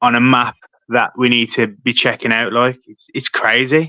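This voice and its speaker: Dry and close with no echo, a man's medium-pitched voice has a bright, sharp tone. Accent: British. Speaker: paranormal YouTuber. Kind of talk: casual interview.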